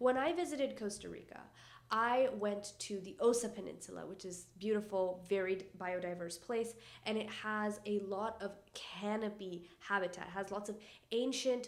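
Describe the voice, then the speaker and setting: In a non-native accent, a woman of medium pitch talks in an animated tone at a moderate pace, with ordinary pitch variation and audible room echo. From Canada. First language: not English. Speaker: environmental YouTuber. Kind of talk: casual educational vlog.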